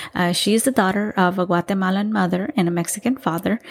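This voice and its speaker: A woman uses a normal speaking voice at a medium pitch, with ordinary pitch variation. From Texas, Salvadoran-American family. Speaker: podcast host. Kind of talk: casual solo monologue.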